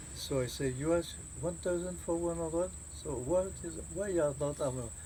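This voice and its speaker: Speaking in a French accent, a man delivers his words at a fairly slow pace. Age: 80s+. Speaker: war veteran. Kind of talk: interview answer.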